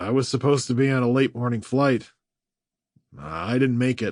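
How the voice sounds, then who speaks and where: A man's strained, put-on character voice at a medium pitch and moderate pace, with ordinary pitch variation over a quiet background. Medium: read story.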